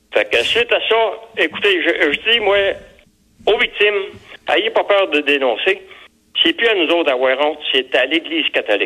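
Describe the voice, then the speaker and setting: This man's voice sits high in pitch and swings very widely up and down, his loudness very even and his speech broken by long, frequent pauses. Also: moderate pace. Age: 80s+. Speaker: abuse survivor, class action plaintiff. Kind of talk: testimony.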